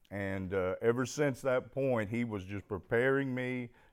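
A medium-pitched man with an Arkansas accent and ordinary pitch variation, in a very clean recording with a silent background. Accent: Southern US (Arkansas). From US South, Arkansas. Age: 50s. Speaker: recovering alcoholic speaker. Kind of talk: testimony. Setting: stage with audience.

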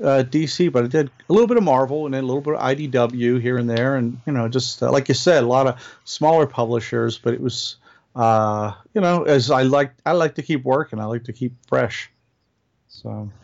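Delivered at a moderate pace, an ordinary speaking voice shows ordinary pitch variation. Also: man, medium pitch for a man. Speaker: comic book inker and novelist. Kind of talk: casual chat.

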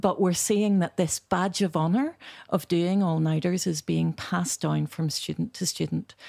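A woman with a Belfast accent, fairly low in pitch and dark, mellow in tone, at a moderate pace with fairly even intonation, in a dry, close sound with no echo. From Northern Ireland, Belfast. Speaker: architecture education director. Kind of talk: panel discussion. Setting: studio.

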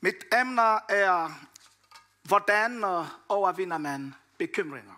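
A man's high-pitched, raised and projected voice, bright and sharp in tone, with a Congolese accent, a very slow pace and long, frequent pauses. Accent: French-Congolese accent in Danish. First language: French (speaking Danish). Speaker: preacher. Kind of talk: sermon. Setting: church hall with audience. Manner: halting.

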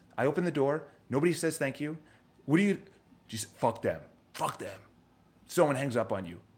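The speaker goes at a fairly quick pace with vocal fry and lively intonation. Pauses are long and frequent. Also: man, fairly high pitch for a man. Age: 30s. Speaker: vlogger and real estate agent. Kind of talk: casual monologue vlog. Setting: live stream to camera. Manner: animated.

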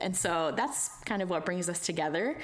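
Moderately paced speech from a woman, an unremarkable speaking voice of medium pitch. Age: 30s. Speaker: podcast host.

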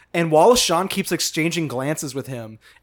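A man speaks at a fairly quick pace, his pitch fairly high with ordinary variation. Music is heard behind him. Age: 30s. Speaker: film podcast host. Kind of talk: casual chat. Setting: apartment.

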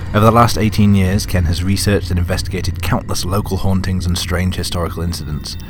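Speaking very fast, a man with a British accent has a very deep, low pitch. Noticeable background noise runs throughout. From Britain. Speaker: podcast host. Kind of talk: podcast intro and outro, casual and chatty.

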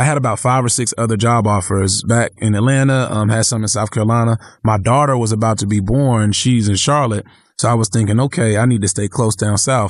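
A man with an unremarkable speaking voice and a medium pitch talks at a fairly quick pace, his intonation fairly even and his loudness very even, against a quiet background. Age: 30s. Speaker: city politician. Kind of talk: interview conversation.

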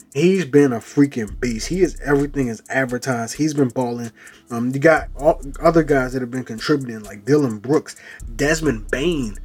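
Against noticeable background noise, a man with an American accent speaks in an animated tone at a moderate pace and fairly high pitch, with ordinary pitch variation and big swings in loudness. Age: 20s. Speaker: sports podcast host. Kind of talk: casual sports talk monologue.

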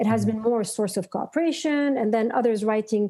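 A woman's dark, mellow, fairly high voice with ordinary pitch variation, in a very clean recording with a silent background. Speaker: university professor and researcher. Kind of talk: interview.

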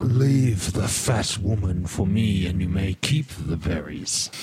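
A man's put-on character voice, guttural and very deep in pitch, at a fairly slow pace over light background noise. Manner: menacing.

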